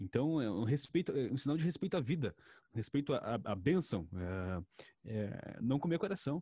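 In a very clean recording with a silent background and a dry, close sound with no echo, a man talks at a fairly slow pace with very wide pitch swings, vocal fry, a medium pitch and a dark, mellow tone. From rural Brazil. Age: 20s. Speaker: journalist. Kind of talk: casual chat.

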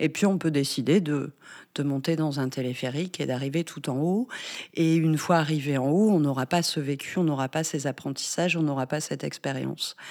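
A woman's very deep, low voice with ordinary pitch variation at a moderate pace, in a very clean recording with a silent background. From northern France. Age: 40s. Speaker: bereavement counselor. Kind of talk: interview conversation. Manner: halting, many hesitations.

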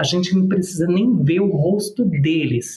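Against noticeable background noise, a man speaks at a moderate pace with a high pitch. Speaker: public relations and personal brand strategist. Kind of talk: casual interview chat.

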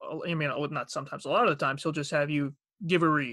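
In a strong Long Island accent, a man with a fairly high pitch speaks in a bright, sharp tone. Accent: Long Island accent, heavy. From Long Island, New York. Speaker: aspiring voice actor and bank worker. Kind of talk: casual chat. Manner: halting with many fillers.

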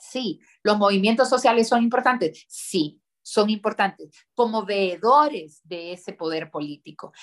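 A woman talks at a fairly slow pace, her pitch sitting in the medium range. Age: 30s. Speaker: politician. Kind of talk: interview. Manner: halting.

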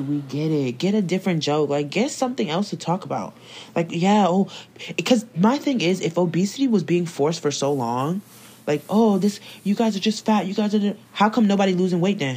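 A woman speaks at a fairly quick pace with lively intonation and a medium pitch. Hers is a normal speaking voice. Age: 20s. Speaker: podcast co-host. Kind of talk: casual chat.

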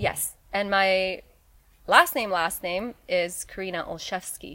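Her tone is bright and sharp. The woman keeps a fairly even intonation. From Poland. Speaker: entrepreneur and children's book author. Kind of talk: casual interview.

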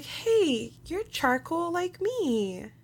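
The voice is a put-on character act. It sits at an extremely high pitch.

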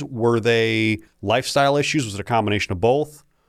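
In a very clean recording with a silent background, a man speaks in an unremarkable speaking voice at medium pitch with ordinary pitch variation. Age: 30s. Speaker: podcast host and health clinic owner. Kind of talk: casual interview chat.

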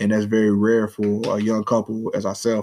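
At a moderate pace, a man speaks in a fairly low, dark, mellow voice with monotone, flat intonation.

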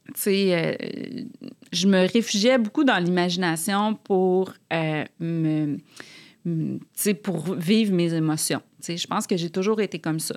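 A woman's medium-pitched voice at a very slow pace, with long, frequent pauses, ordinary pitch variation, and a very clean recording over a silent background. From Quebec City, Quebec. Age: 40s. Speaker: author. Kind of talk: casual interview chat.

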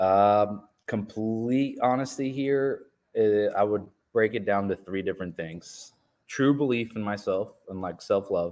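A man with an unremarkable speaking voice talks at a fairly slow pace in a fairly low pitch. The recording is very clean, with a silent background. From Colombia, raised in small-town Ohio from age 7. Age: 30s. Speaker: general contractor and real estate developer. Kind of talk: casual interview.

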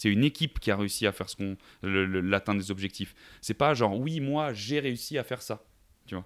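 A man talks at a fairly quick pace in a fairly low pitch with ordinary pitch variation. He has a plain, everyday voice. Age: 20s. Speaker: sales manager and podcaster. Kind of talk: casual interview. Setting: remote call.

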